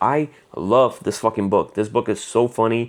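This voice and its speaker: At a fairly slow pace, a man with a Spanish accent speaks at a fairly low pitch with ordinary pitch variation. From Puerto Rico. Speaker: comic book YouTuber. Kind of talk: casual review monologue. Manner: halting, many fillers.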